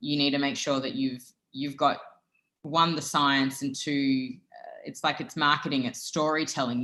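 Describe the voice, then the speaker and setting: A woman speaks with a very deep, low pitch, ordinary pitch variation and a bright, sharp tone. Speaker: food brand founder and prebiotic expert. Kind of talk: interview.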